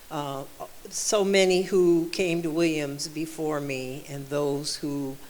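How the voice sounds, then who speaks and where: Over noticeable background noise and audible room echo, a woman with a very deep, low pitch speaks at a very slow pace with fairly even intonation. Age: 70s. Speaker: panelist, alumna. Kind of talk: panel talk. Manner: halting.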